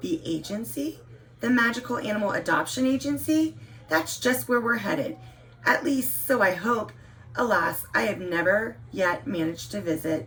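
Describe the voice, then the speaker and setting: Putting on a raspy character voice, a man speaks high in his range at a moderate pace, his pitch swinging very widely over clear background noise. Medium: read story. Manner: gentle, earnest, old-fashioned politeness.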